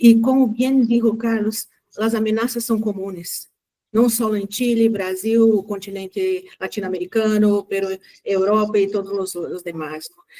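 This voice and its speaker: A woman with a Brazilian accent speaks at a fairly slow pace in a fairly high, dark and mellow voice. Her intonation stays fairly even while her loudness swings widely. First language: Portuguese (speaking Spanish). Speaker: human rights collaborator. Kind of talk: panel discussion comment.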